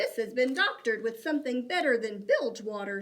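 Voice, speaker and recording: A woman growls in a put-on character voice, pitched high. She talks at a fairly quick pace. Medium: read story. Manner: growling, muttering.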